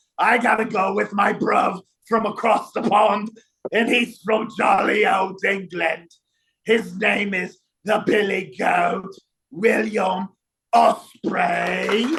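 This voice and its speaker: A man uses a put-on character voice with a high pitch and fairly even intonation. He talks at a very slow pace. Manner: jolly, mock posh.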